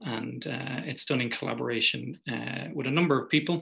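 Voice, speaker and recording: A man with an Irish accent, in a bright, sharp tone with vocal fry. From Ireland. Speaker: physicist. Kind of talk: lecture.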